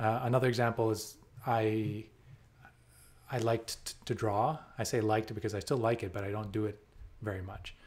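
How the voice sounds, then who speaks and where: A man speaks at a fairly quick pace and medium pitch, somewhat breathy, with fairly even intonation. He takes long, frequent pauses on a very clean recording with a silent background. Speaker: software developer. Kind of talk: casual talk to camera.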